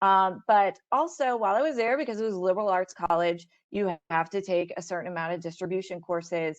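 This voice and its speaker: Against a quiet background, a woman with an Ohio accent talks at a fairly quick pace with hardly any pauses, her medium pitch showing ordinary variation. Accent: Midwestern American (Ohio). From Ohio, west side of Cleveland. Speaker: scientist, career panelist. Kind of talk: webinar panel talk. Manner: casual, many filler words.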